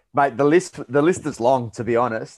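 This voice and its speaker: Moderate-paced speech from a man with ordinary pitch variation, a quiet background behind it. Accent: Australian. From Australia, Melbourne. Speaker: performance and lifestyle coach. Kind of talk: podcast interview.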